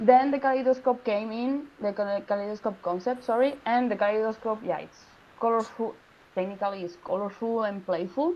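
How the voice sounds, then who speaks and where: This woman talks fairly quickly with a Spanish accent, her pitch fairly high. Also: ordinary pitch variation. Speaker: design student. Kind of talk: project presentation Q&A. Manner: halting.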